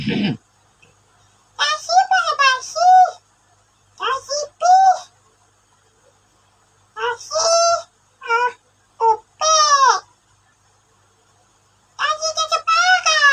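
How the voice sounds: A squeaky, put-on character voice at an extremely high pitch, very slow in pace, with long, frequent pauses.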